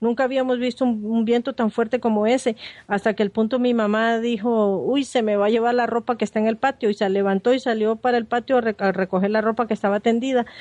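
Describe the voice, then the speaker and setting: Very fast and monotone, a woman speaks with flat intonation and very even loudness in a fairly high pitch, the sound dry and close with no echo. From Nicaragua, Managua. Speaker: journalist. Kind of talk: interview testimony.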